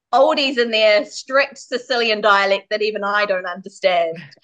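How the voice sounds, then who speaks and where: A woman with a New Zealand accent speaks with lively intonation. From New Zealand (Māori, Wairarapa). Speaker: Māori mother in bicultural couple. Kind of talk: casual chat.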